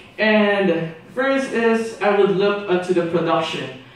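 A high-pitched man speaking at a very slow pace amid strong room echo. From Philippines. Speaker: exchange student; presenter. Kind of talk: class presentation. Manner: hesitant with many fillers. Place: classroom.

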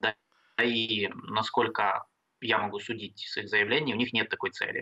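Fairly slow speech from a man against a quiet background. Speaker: international affairs expert; guest. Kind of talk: interview. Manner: halting. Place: home room. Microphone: video call.

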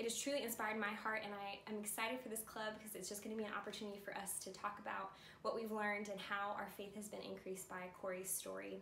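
Over light background noise and audible room echo, a woman speaks at a very fast pace with monotone, flat intonation. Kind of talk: casual announcement. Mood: warm, cheerful. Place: home room. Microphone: camera far.

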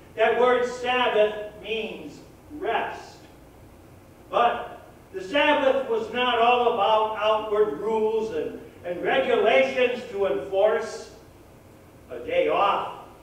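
A man's extremely high voice with ordinary pitch variation, very slow with long, frequent pauses, in strong room echo. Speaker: pastor. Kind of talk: sermon. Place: church.

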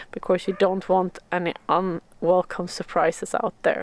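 A woman speaks at a moderate pace in a dry sound with no echo. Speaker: outdoor hiking vlogger. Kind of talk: tutorial. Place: forest. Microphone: phone near.

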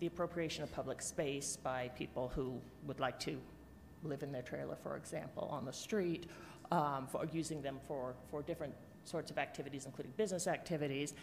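A woman speaks at a fairly quick pace in a very deep, low pitch with ordinary pitch variation. There is light background noise. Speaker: council presenter. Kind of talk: briefing presentation. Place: hall. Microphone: podium.

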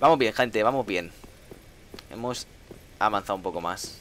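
Amid noticeable background noise, a man with a Castilian accent talks in an animated tone at a medium pitch. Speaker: gaming streamer. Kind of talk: live gameplay commentary. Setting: live stream.

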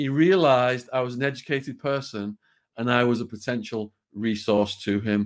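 A man with a northern English accent, ordinary pitch variation, and a quiet background. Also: medium pitch for a man, moderate pace. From northwest England. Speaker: author and former prisoner; podcast guest. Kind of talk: interview storytelling. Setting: video call. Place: home room.

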